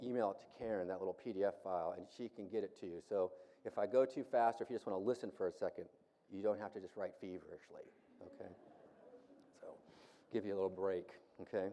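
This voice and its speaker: A man with an American accent talks very fast, with big swings in loudness and long, frequent pauses. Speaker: Bible professor, conference speaker. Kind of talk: lecture. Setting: conference hall with audience. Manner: casual, conversational.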